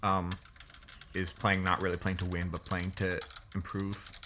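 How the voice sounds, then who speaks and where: A man with a fairly low pitch speaks against noticeable background noise. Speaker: gaming podcast co-host. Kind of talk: casual gameplay commentary. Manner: hesitant, many fillers.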